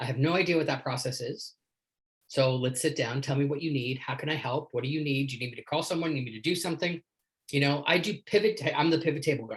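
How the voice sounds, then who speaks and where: Speaking very fast with a Canadian accent, a man sounds somewhat breathy, with ordinary pitch variation. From Canada. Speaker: leadership coach. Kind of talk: casual chat. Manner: animated.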